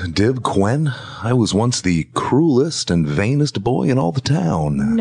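Over noticeable background noise, a man with a medium pitch speaks at a fairly slow pace, his loudness very even while his pitch swings very widely. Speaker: radio host; podcast guest. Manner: calm, slow, gentle.

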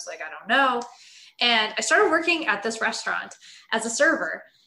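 Noticeable background noise runs under a woman speaking with lively intonation. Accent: American. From US West Coast, Los Angeles. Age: 30s. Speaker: nutrition coach. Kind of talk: interview.

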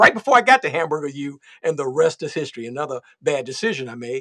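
A man speaks very fast in a bright, sharp, animated tone with lively intonation. The sound is dry and close, with no echo. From Chicago, far south side. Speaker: podcaster. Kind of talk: casual chat.

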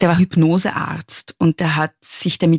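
In a very clean recording with a silent background and a dry, close sound free of echo, the speaker has vocal fry and an Austrian accent. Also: woman. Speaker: feminist author. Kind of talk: interview.

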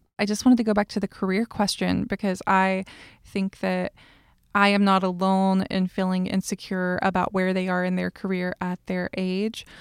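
On a very clean recording with a silent background and a dry, close sound with no echo, a woman with an American accent speaks in a monotone, flat intonation. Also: medium pitch for a woman, moderate pace. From US South. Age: 30s. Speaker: podcast host. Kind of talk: casual chat.

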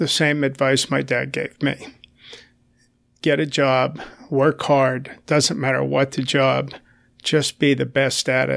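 A man speaks at a very slow pace with long, frequent pauses. His intonation is monotone and flat, with vocal fry. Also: medium pitch for a man, very clean recording, silent background. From US, Italian-American family. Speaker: retired businessman, spouse of politician. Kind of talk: interview. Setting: studio.

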